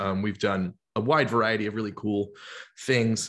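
A man's unremarkable speaking voice, fairly low-pitched, with an American accent, fairly even intonation and a moderate pace, on a very clean recording with a silent background. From US South, Georgia (Atlanta). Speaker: singer-songwriter. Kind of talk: casual chat.

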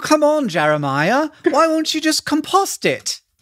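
A woman puts on a whiny character voice pitched high. She keeps to a moderate pace.

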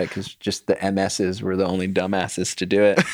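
The man's pitch is very deep and low. He speaks at a fairly quick pace. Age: 30s. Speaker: professional rock climber. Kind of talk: casual chat. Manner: animated.

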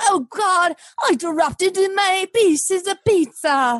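In a put-on character voice with lively intonation, the speaker goes slowly, the sound dry and close with no echo. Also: woman, extremely high pitch for a woman.

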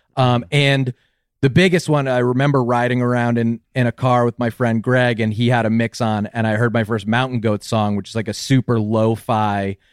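A man with an ordinary speaking voice, medium pitch and fairly even intonation, at a moderate pace, in a dry, close sound with no echo. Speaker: podcaster. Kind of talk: casual chat.

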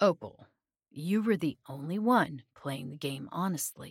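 Putting on a character voice, a woman speaks low in pitch and fairly slowly, with lively intonation, vocal fry and a slightly husky edge, in a very clean recording with a silent background.

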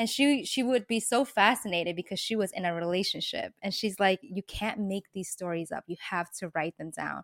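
A woman's normal speaking voice at a medium pitch and moderate pace, with ordinary pitch variation and hardly any pauses, in a very clean recording with a silent background and a dry, close sound with no echo. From US, New York City. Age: 30s. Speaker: author and lifestyle blogger. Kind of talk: casual interview.

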